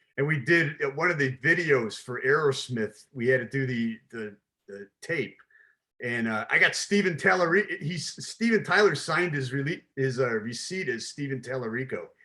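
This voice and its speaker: A man with an American accent talks at a moderate pace, his pitch fairly high. His tone is bright and sharp, and his intonation is lively. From Chicago, US. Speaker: podcast host, logistics business. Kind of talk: casual interview.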